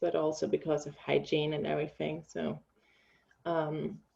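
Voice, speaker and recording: A woman speaks at a moderate pace with a German accent. Her pitch is very deep and low. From Germany. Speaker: bereaved mother and grief support coach. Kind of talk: personal testimony in interview. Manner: halting, many filler ums.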